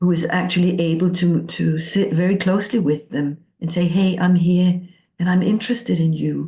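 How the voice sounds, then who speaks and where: Somewhat breathy and dark, mellow in tone, a woman's fairly low voice carries a Danish accent and fairly even intonation. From Denmark. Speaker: coaching teacher. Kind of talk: interview.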